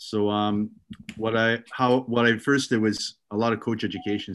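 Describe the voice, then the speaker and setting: This man has a Canadian accent. His intonation is monotone and flat. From Ontario, Canada. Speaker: youth soccer director and coach. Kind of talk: casual interview.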